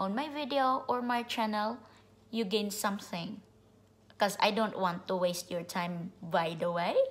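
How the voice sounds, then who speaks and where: A fairly slow pace with lively intonation. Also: woman. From immigrant to the US, grew up abroad. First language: not English. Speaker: vlogger. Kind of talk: casual direct-to-camera vlog monologue. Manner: cheerful, upbeat, laughs often; rambling, informal. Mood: warm, upbeat, smiling. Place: home room. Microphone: phone near.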